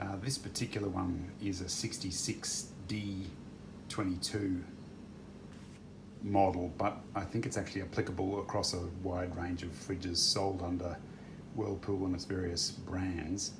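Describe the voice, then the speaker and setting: With long, frequent pauses and a fairly slow pace, a man with an Australian accent talks in a very deep, low, flat monotone, with audible room echo. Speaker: DIY repair video maker. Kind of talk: tutorial. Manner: casual with frequent fillers.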